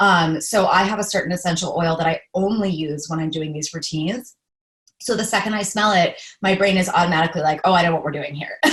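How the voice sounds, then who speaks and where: A woman speaks at a very fast pace in a fairly low, somewhat breathy voice, with an animated tone and ordinary pitch variation. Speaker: empath life coach. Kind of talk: casual chat.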